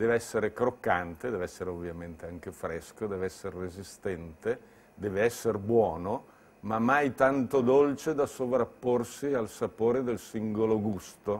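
Fairly low in pitch, a man talks at a moderate pace with ordinary pitch variation. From Lombardy, Bergamo; Lombardy. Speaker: entrepreneur. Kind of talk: interview monologue.

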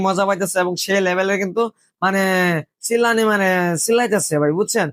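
A man with a high pitch and fairly even intonation. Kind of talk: comic voice-over commentary. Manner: casual, chatty, joking.

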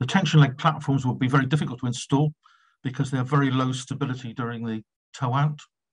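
Somewhat breathy with fairly even intonation, the voice comes over a quiet background. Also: man. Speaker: presenter. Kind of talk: lecture. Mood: slightly halting, pauses. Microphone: video call.

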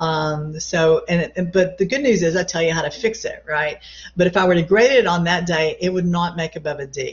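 A somewhat breathy woman's voice, fairly low in pitch, with ordinary pitch variation at a moderate pace. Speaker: college English instructor. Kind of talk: lecture. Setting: video call.

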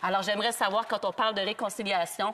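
A woman talks in a Quebec French accent with a fairly high pitch. Her intonation is monotone and flat. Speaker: politician. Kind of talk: parliamentary debate. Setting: parliament chamber. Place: hall.

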